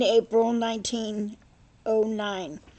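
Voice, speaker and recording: A woman's voice with music in the background. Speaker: former college instructor. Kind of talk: cemetery history narration.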